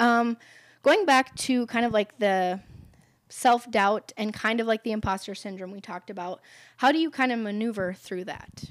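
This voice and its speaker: A woman with a fairly high pitch and an unremarkable speaking voice talks at a moderate pace with ordinary pitch variation. Her loudness swings widely in a very clean recording with a silent background. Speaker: podcast host. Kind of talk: interview.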